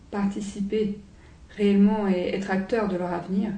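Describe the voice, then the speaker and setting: A woman speaks at medium pitch and a fairly slow pace. Noticeable background noise and audible room echo surround her voice. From Romania, raised partly in France. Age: 20s. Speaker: law student and activist. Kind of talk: interview testimony. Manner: hesitant, many fillers.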